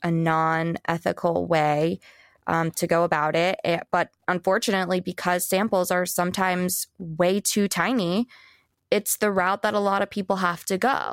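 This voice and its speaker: In a very clean recording with a silent background and a dry, close sound with no echo, a woman speaks in an ordinary speaking voice at medium pitch, fairly slowly and with fairly even intonation. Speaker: wardrobe stylist and brand founder. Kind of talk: casual interview chat.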